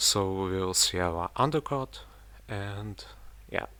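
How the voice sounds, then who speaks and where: Over a silent background on a very clean recording, a man with a non-native accent speaks with a fairly low pitch, a bright, sharp tone and ordinary pitch variation. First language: not English. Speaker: miniature painting hobbyist. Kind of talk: tutorial voiceover. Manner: casual, slightly halting.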